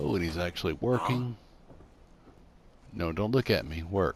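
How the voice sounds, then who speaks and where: Very deep and low, a man's voice carries vocal fry and very wide pitch swings at a fairly slow pace. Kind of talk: narrated video game build tour. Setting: game console headset mic. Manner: stammering, rambling; casual, self-deprecating.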